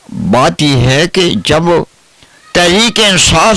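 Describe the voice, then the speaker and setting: A man talks over noticeable background noise. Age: 80s+. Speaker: pensioner activist. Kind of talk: interview.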